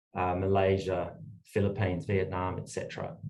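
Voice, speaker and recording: Fairly quick and somewhat breathy, a man speaks with an Australian accent. His pitch is fairly low. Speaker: energy lawyer. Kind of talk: panel discussion.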